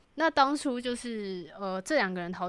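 In a very clean recording with a silent background, a woman talks. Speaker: podcast co-host. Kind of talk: casual chat.

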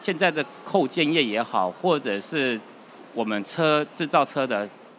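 Speaking with a Taiwanese accent, a man uses a bright, sharp tone with vocal fry and very wide pitch swings. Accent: Taiwanese Mandarin. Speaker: company finance director. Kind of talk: interview. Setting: trade show floor.

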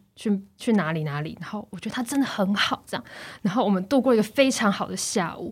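On a very clean recording with a silent background, a woman talks very fast at a medium pitch, somewhat breathy, with big swings in loudness. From Taiwan. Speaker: former student in France. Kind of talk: casual chat. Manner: animated.

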